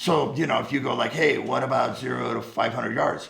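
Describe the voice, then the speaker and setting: Amid noticeable background noise and audible room echo, a man talks very fast. His tone is animated. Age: 70s. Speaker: firearms instructor, Marine veteran. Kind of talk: casual chat.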